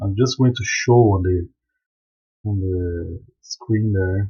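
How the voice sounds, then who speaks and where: This man speaks at a very slow pace with a non-native accent. His voice is somewhat breathy. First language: not English. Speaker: software developer and live streamer. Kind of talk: live stream software demo. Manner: casual, halting with repetitions.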